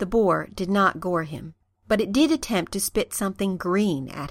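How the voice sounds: A natural reading voice with ordinary pitch variation. The background is quiet.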